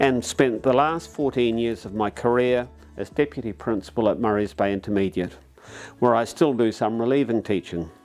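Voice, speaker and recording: Music plays in the background. Over it, a man speaks in a New Zealand accent. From New Zealand, Auckland North Shore. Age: 70s. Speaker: retired teacher. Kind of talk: testimony.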